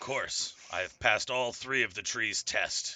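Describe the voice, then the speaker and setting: Raspy and delivered in a put-on character voice at a moderate pace. The loudness swings widely from moment to moment. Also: man. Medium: actual play. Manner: stiff, formal, haughty.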